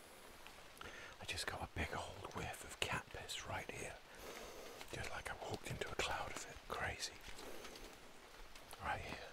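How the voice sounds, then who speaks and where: A man whispers at a fairly slow pace, with long, frequent pauses. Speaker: wildlife biologist and tracker. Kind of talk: field commentary to camera. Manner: whispered. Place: forest. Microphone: phone near.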